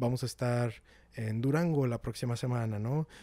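A man with a slight northern Mexican accent talks at medium pitch in a dark, mellow tone, with a dry sound and no echo. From Mexico, Guadalupe, Nuevo León; Nuevo León, Mexico. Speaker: nonprofit outreach manager; podcast guest. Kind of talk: casual interview. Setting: in person, Monterrey. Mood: relaxed, friendly, animated. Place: home room. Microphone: handheld.

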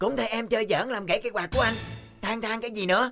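A cartoonish character voice rattles along at a very fast pace with fairly high pitch. Faint music plays in the background. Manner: whiny, pleading.

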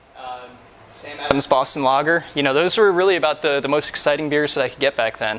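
Delivered at a very fast pace, the speech shows big swings in loudness and ordinary pitch variation. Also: man. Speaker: interviewee. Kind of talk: interview answer. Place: factory. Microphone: lapel.

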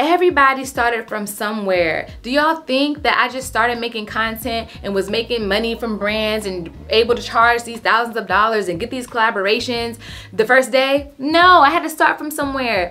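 Over faint music in the background, a woman speaks at a moderate pace with a fairly high pitch and ordinary pitch variation, hardly pausing at all. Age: 30s. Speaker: lifestyle content creator. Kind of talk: casual vlog tutorial. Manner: animated. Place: home room.

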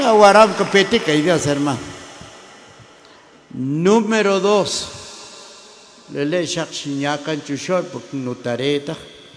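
A man's fairly high voice with ordinary pitch variation, slow and broken by long, frequent pauses, in audible room echo

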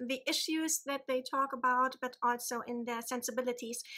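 In a German accent, a woman projects a raised voice at a high pitch, her tone bright and sharp and her intonation fairly even, over a quiet background. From Germany. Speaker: book vlogger. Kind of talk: casual vlog. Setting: home. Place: home room. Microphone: phone near.

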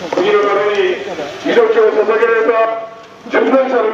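The speaker is a man using ordinary pitch variation. There is light background noise and audible room echo. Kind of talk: rally speech. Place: street. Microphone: pa.

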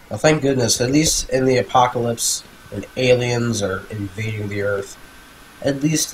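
A man at a medium pitch, talking at a fairly slow pace over noticeable background noise. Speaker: gaming youtuber. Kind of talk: let's play commentary. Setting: home recording, playing game. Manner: casual, chatty.

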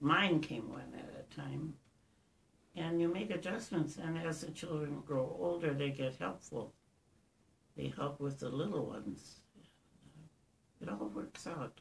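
A woman with a very deep, low pitch and vocal fry speaks fairly slowly, her pitch swinging very widely between long, frequent pauses. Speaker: interviewee. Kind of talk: interview answer. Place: home room. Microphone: camera far.

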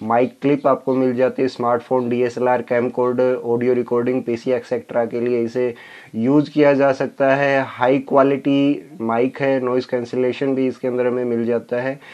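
Against a quiet background, a man talks at a fairly slow pace in a monotone, flat intonation. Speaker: tech youtuber. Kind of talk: unboxing review. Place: home room.

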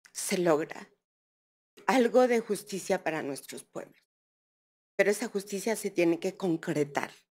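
A woman talks at a fairly slow pace with ordinary pitch variation. Long pauses come often. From Mixteca Alta, Oaxaca, Mexico; Oaxaca, Mexico. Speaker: speaker. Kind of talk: heartfelt speech. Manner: colloquial. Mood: earnest, reflective. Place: hall. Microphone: podium.

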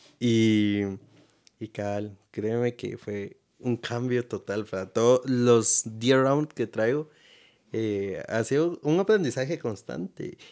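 A man talks at a very slow pace, the background quiet behind him. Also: medium pitch for a man, ordinary pitch variation. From Guatemala. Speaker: podcast host. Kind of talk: interview. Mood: relaxed, smiling. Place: home room. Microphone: studio mic.

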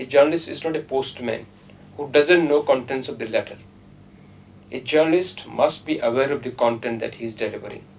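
A man with an Indian accent and a fairly high pitch speaks at a fairly quick pace with ordinary pitch variation and big swings in loudness, over noticeable background noise. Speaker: professor. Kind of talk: panel discussion. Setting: studio.

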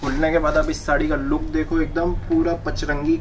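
A man speaks at a fairly slow pace. There is light background noise. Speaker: saree seller. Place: shop.

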